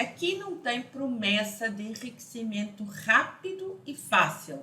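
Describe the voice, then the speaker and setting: A woman with a European Portuguese accent speaks at a very slow pace in a fairly high pitch. Her pitch swings very widely, and audible room echo surrounds her voice. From Portugal. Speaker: financial educator. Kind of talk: online lesson.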